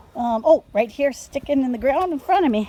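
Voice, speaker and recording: A woman speaks with a Minnesota accent at a high pitch with very wide pitch swings. Noticeable background noise runs underneath. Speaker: video blogger. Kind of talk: casual chat. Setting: outdoors. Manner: animated.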